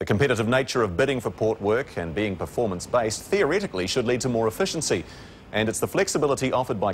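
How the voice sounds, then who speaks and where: This man speaks at a very fast pace in a New Zealand accent. His medium pitch makes very wide swings. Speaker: TV news reporter. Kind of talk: scripted news explainer.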